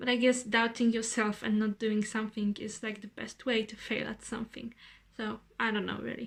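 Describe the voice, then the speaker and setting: Monotone and flat, a woman with a Polish accent speaks in a fairly high voice with big swings in loudness. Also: moderate pace. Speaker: vlogger. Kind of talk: casual vlog monologue. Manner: rambling.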